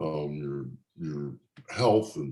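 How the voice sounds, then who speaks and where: This man's voice has a dark, mellow tone and vocal fry. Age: 60s. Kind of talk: interview testimony. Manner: halting.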